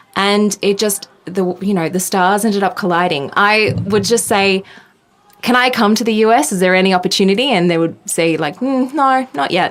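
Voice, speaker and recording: In an Australian accent, the speaker talks at a fairly quick pace with ordinary pitch variation and very even loudness over noticeable background noise. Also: woman. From Australia, Sydney. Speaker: tech journalist. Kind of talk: interview. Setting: podcast.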